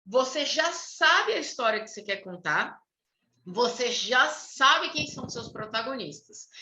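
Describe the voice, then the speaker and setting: The voice is raised and projected, delivered at a fairly slow pace. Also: woman. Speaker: writer and writing workshop leader. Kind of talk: online workshop lecture.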